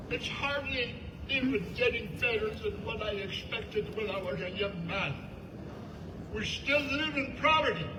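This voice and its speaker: Noticeable background noise and audible room echo surround a man with an extremely high pitch. He talks at a moderate pace with lively intonation. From Canada, First Nations. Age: 70s. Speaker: First Nations elder. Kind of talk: public speech.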